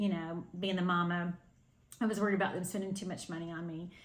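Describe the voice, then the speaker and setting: Fairly even intonation comes through with audible echo from the room. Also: woman. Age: 60s. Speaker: cross-stitch video host. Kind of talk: casual chat to camera. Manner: hesitant, many fillers.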